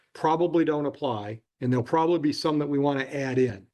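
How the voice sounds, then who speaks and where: A man's very fast speech, fairly high in pitch, with ordinary pitch variation and a quiet background. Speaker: judge. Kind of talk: courtroom proceedings. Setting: courtroom.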